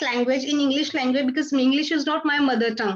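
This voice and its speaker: A woman's high voice with fairly even intonation and an Indian accent. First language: Hindi. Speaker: English learner. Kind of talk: conversation practice session. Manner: halting.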